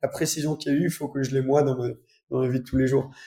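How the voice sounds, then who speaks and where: Very fast and flat in intonation, a man speaks in a fairly high, somewhat breathy voice with a dark, mellow tone. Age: 20s. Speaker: automotive YouTuber. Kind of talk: casual interview.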